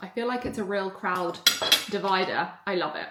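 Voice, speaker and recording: A woman speaks with a southern English accent at a moderate pace, her pitch medium. Some room echo can be heard. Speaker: vlogger and mindset coach. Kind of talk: casual vlog. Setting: hotel lobby co-working space. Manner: quiet, speaking softly.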